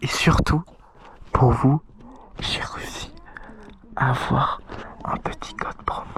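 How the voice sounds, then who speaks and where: A man speaks at a very slow pace, with long, frequent pauses. Noticeable background noise runs underneath. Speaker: mountain bike vlogger. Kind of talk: casual vlog chat. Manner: animated; loud.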